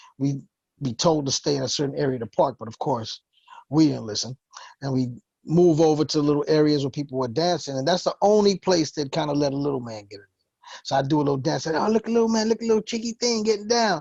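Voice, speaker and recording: With a New York accent, a man speaks at a very fast pace in a fairly high, dark and mellow voice, his pitch swinging very widely and his loudness rising and falling sharply, the sound dry and close with no echo. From New York, the Bronx. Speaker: hip hop producer. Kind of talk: interview.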